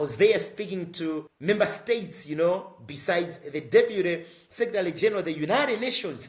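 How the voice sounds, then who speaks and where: A man with a high voice, a fairly quick pace, lively intonation and hardly any pauses. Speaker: social entrepreneur and climate advocate. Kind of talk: interview. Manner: fast.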